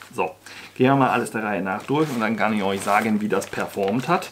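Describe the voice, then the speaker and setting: A fairly low-pitched man at a very fast pace, noticeable background noise behind him. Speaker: outdoor gear reviewer. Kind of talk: casual vlog chat. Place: home room.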